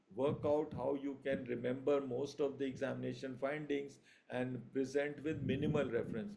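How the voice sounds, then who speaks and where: This man's voice is fairly high-pitched with a dark, mellow tone, and audible room echo surrounds it. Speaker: surgery lecturer. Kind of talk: online revision lecture. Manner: hesitant with fillers.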